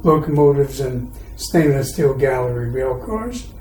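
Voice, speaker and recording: A fairly high-pitched man at a fairly slow pace, ordinary pitch variation, audible room echo and noticeable background noise. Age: 70s. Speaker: retired transit manager. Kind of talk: podcast interview.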